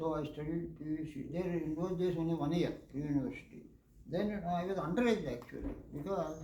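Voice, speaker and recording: Speaking at a fairly quick pace, a man uses a fairly high pitch and ordinary pitch variation. There is audible room echo. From India, Andhra Pradesh. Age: 70s. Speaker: retired engineer, lecture speaker. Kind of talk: lecture.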